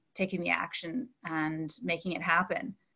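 This is an ordinary speaking voice with a Canadian accent at a moderate pace. The background is quiet. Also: woman. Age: 40s. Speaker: coach and business owner. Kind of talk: interview.

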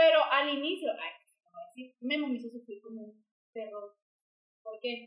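A woman's high, fairly slow voice with lively intonation, big swings in loudness and long, frequent pauses. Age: 20s. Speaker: podcast co-host sharing personal story. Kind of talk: casual chat.

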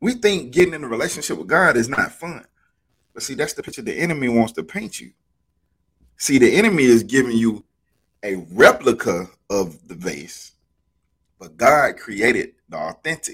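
A man with vocal fry and a fairly high pitch speaks in an animated tone at a moderate pace, with very wide pitch swings, big swings in loudness, and long, frequent pauses. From Alabama, US South. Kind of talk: casual faith discussion.

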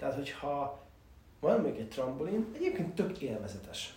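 Noticeable background noise and audible room echo around a man's moderately paced speech. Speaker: podcast host. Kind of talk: solo monologue on self-improvement. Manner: hesitant with many fillers.

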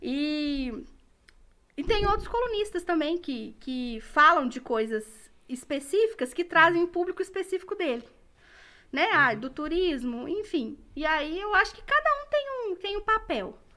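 Extremely high and bright, a woman's raised, projected voice carries a sharp tone at a fairly slow pace. Her pitch swings very widely and her loudness shifts a great deal. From Minas Gerais, Brazil. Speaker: journalist and museum communications coordinator. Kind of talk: casual interview. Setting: podcast studio, live.

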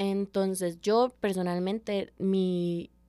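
A woman's dark, mellow tone in a monotone, flat intonation. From Costa Rica, Paso Ancho (San José). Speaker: hammer thrower, athlete. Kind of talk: interview.

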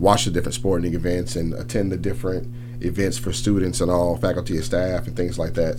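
Noticeable background noise behind a man's very fast delivery, fairly low in pitch and with ordinary pitch variation. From New Orleans, Louisiana. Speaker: campus police chief. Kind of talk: radio interview answers. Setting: radio studio. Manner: relaxed, conversational.

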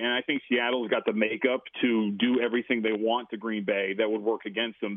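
A man with an American accent, an ordinary speaking voice, medium pitch and a fairly quick pace. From Las Vegas, US. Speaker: sports betting radio host. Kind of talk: casual interview. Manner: frequent filler words.

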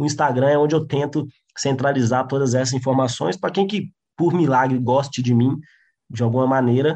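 A dark, mellow tone over a quiet background. The intonation stays fairly even at a moderate pace. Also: man. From interior of Minas Gerais, Brazil. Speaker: stand-up comedian and comedy writer. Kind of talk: casual chat.

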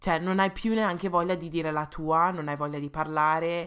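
In a very clean recording with a silent background, a woman speaks at a very deep, low pitch with ordinary pitch variation. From England. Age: 20s. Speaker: podcast co-host. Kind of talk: casual chat. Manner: fast, talkative.

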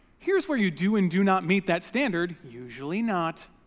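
With lively intonation, a man with a high voice speaks at a fairly slow pace. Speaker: pastor. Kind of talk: sermon. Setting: church.

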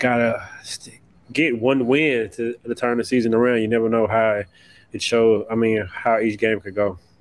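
A man talks at a moderate pace with medium pitch, fairly even intonation and a plain, everyday voice. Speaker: sports podcast co-host. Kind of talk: sports talk podcast discussion.

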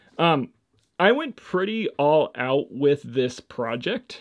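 This is a man's voice. His pitch sits fairly high. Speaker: podcast host and church youth worker. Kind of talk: casual solo monologue. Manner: animated, expressive; rambling with many fillers.

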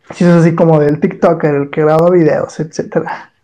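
A man with a fairly high pitch speaks at a moderate pace. His intonation stays monotone and flat. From Mexico, Torreón (La Laguna). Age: 20s. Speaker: history content creator, communication student. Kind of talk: casual interview.

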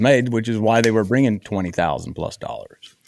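Fairly low male speech, fairly quick and with ordinary pitch variation, over noticeable background noise. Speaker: podcast host. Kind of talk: casual chat.

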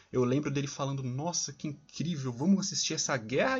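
This man's delivery is very rapid. There is a somewhat breathy quality to his voice. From São Paulo, Brazil. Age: 20s. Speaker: podcast co-host, engineering student. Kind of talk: casual chat.

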